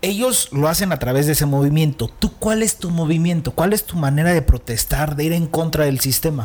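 With noticeable background noise behind him, a man talks at a moderate pace in a fairly high voice with lively intonation. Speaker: podcast host. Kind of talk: casual interview. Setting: studio.

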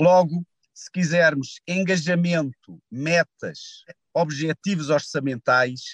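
A man with a European Portuguese accent speaks at a very slow pace and a high pitch. The sound is dry and close, with no echo. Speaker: energy company CEO. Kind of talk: interview. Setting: in a car.

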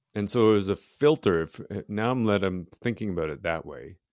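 With an ordinary speaking voice and lively intonation, a man talks at a moderate pace and a fairly low pitch, recorded with a dry, close sound with no echo over a quiet background. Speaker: podcast host. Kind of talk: casual interview chat.

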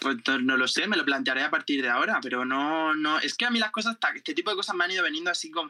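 Very fast and at a high pitch, a man with a bright, sharp tone makes very wide pitch swings while his loudness stays very even. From Spain, Murcia (Jumilla). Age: 20s. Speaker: journalist and TikToker. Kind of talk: casual chat.

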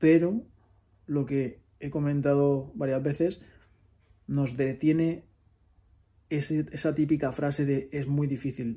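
A man's fairly high voice, dark and mellow in tone and somewhat breathy, very slow with long, frequent pauses and fairly even intonation. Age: 30s. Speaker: podcast host. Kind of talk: solo monologue. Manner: reflective.

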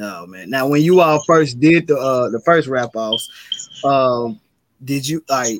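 A man with a Memphis accent speaks at a fairly slow pace, with medium pitch and ordinary pitch variation. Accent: Memphis Southern US. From US South, Memphis. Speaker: podcast host. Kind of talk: casual interview.

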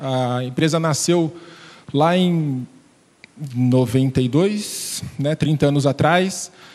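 A man with a fairly high pitch and ordinary pitch variation speaks at a very slow pace, leaving long, frequent pauses. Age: 30s. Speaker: customer service executive. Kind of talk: panel discussion.

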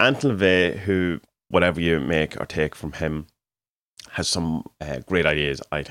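A man with an Irish accent and a very deep, low pitch speaks with ordinary pitch variation, the sound dry and close with no echo in a very clean recording with a silent background. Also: fairly slow pace. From Ireland. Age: 40s. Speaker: podcaster and artist. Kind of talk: solo monologue. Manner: casual, hesitant with fillers.

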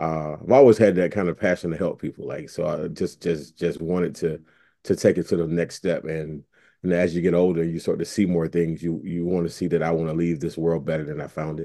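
Speaking in an eastern North Carolina accent, a man has a very deep, low pitch and a dark, mellow tone. He talks at a fairly quick pace with fairly even intonation over a quiet background. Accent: US Southern, eastern North Carolina. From Eastern North Carolina (Pitt/Greene County). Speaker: civil rights organization officer and educator. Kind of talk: podcast interview.

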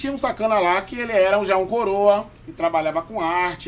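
A man with a Bahian accent at a fairly quick pace. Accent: Bahian, kept. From Bahia, Salvador. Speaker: podcast guest. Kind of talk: casual chat. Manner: animated.

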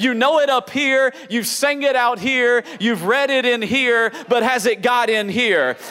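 A man talks at an extremely high pitch and a moderate pace, animated in tone. His pitch varies in an ordinary way, with music in the background. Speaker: pastor. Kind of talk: sermon. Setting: church with live congregation. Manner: animated, call-and-response preaching; emphatic, rising with the congregation.

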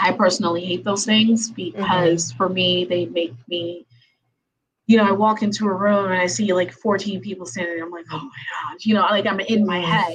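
This woman's voice sits at a medium pitch and comes across somewhat breathy. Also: ordinary pitch variation, moderate pace. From Haiti. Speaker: attorney and podcast host. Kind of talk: casual interview.

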